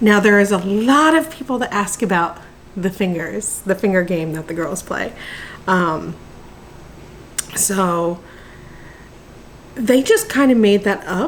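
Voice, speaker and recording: A woman with a medium pitch speaks at a fairly slow pace, with lively intonation and long, frequent pauses. Noticeable background noise can be heard. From New Jersey, near Philadelphia. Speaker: mother vlogger. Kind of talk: casual Q&A chat. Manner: casual with many ums.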